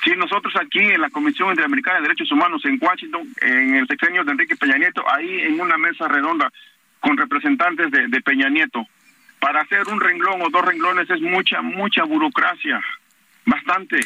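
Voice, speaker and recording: At a fairly quick pace, a man speaks high in pitch with lively intonation and very even loudness. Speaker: parent of a disappeared student, activist. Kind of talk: phone interview. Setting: phone call. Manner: halting.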